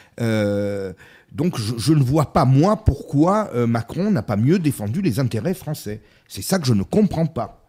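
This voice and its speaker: A somewhat breathy male voice of medium pitch, dark and mellow in tone, at a very slow pace with very wide pitch swings. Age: 50s. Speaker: business consultant and essayist. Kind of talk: casual political discussion.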